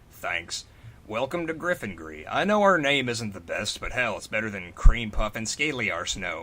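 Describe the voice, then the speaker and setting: A man uses a put-on character voice at medium pitch. He talks at a moderate pace. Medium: read story. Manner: blunt, loud.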